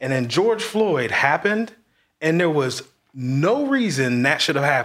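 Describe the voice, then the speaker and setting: A man with an American accent, a plain, everyday voice, fairly high pitch, lively intonation and very even loudness. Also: moderate pace. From Marion, Indiana. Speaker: real estate agent. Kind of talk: casual chat.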